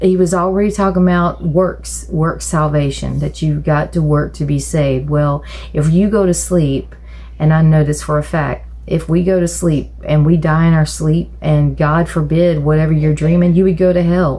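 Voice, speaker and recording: Amid noticeable background noise and audible room echo, a woman talks at a very even loudness. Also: moderate pace. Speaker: churchgoer telling her side of a viral incident. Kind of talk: interview testimony. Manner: halting, many fillers and restarts.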